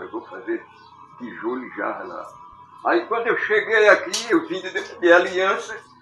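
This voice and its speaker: Music plays behind a man speaking at a moderate pace, his loudness swinging widely. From Pernambuco, Brazil. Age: 80s+. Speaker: potter. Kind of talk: interview answer.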